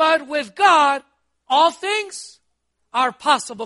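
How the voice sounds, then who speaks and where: Over a quiet background, a man speaks in a raised, projected voice with a bright, sharp, animated tone and lively intonation. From Costa Rica. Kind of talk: sermon. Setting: church. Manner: animated, exhortative preaching with call-and-response questions.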